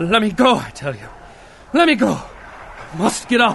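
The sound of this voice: Over faint background noise, a man puts on a character voice, high-pitched with very wide pitch swings, a fairly bright tone and vocal fry, at a fairly slow pace.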